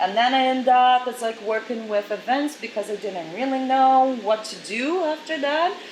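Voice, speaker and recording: With a Portuguese accent, a woman talks at a moderate pace with hardly any pauses, using a high pitch and ordinary pitch variation over noticeable background noise. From Brazil. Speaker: model agency director. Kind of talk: interview.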